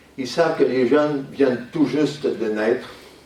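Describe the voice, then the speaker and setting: A man at medium pitch, ordinary pitch variation and a moderate pace, with audible room echo. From Quebec. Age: 70s. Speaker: lecturer. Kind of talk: school talk to pupils. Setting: school classroom.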